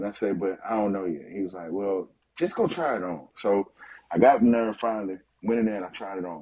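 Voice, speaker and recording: Very fast delivery with ordinary pitch variation. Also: man, fairly low pitch for a man. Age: 40s. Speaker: fitness coach. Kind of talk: casual interview.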